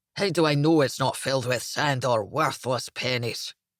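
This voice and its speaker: A man growls in a gruff, put-on character voice at a medium pitch. His pace is moderate. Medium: read story. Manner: gruff, snarling.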